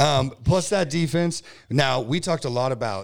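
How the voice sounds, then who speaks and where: A man with an American accent speaks with vocal fry and very wide pitch swings. The recording is very clean, with a silent background. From California, Bay Area. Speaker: sports podcast co-host. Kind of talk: casual chat.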